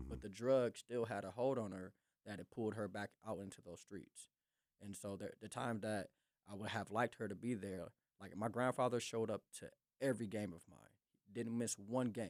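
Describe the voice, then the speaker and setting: A man with a plain, everyday voice and a fairly low pitch speaks at a moderate pace with ordinary pitch variation and big swings in loudness, in a dry, close recording with no echo. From North Minneapolis, USA. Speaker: pastor, podcast guest. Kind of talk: interview answer, personal testimony. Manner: reflective, sincere.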